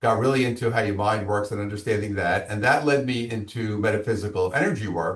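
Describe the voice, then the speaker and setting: Against a quiet background, a somewhat breathy voice with a Brooklyn accent speaks with ordinary pitch variation. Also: man. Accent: Brooklyn New York. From Brooklyn, New York. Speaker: business coach and author. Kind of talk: interview.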